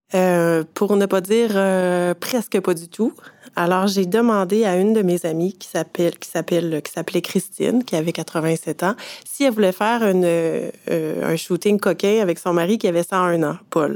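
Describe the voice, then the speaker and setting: A woman talks in a Quebec accent with fairly even intonation. The sound is dry and close, with no echo. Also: medium pitch for a woman. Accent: Québécois French. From Quebec, Eastern Townships. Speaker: photographer. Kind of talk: interview. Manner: halting, frequent hesitations.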